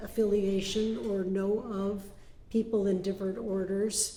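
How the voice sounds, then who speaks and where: Over noticeable background noise and audible room echo, a woman speaks at a fairly slow pace. Her medium-pitched voice stays monotone and flat. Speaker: Benedictine nun. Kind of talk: presentation to a group. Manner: halting, with filler words.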